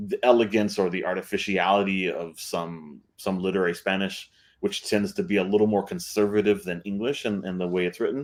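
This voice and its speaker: A man with a South Texas accent talks at a fairly quick pace with fairly even intonation, on a very clean recording with a silent background. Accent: South Texas Mexican-American English. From US South, rural deep South Texas. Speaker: author and translator, panelist. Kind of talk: panel discussion. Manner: halting, many fillers and repetitions.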